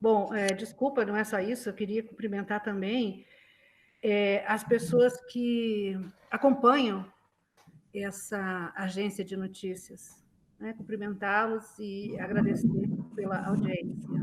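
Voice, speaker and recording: A woman's somewhat breathy, medium-pitched voice at a very slow pace, with fairly even intonation and long, frequent pauses. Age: 60s. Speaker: retired journalism professor. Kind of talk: interview.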